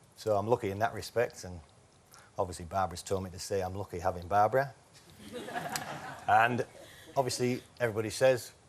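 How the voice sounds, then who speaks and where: Amid noticeable background noise, a man with a Yorkshire accent talks at a very fast pace, his loudness swinging widely and his speech broken by long, frequent pauses. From northern England, Whitby, North Yorkshire. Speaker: game show contestant. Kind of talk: casual chat.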